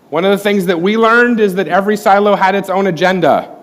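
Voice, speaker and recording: In a room with audible echo, a man with an American accent talks at a very fast pace. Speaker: corporate IT presenter. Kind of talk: conference talk.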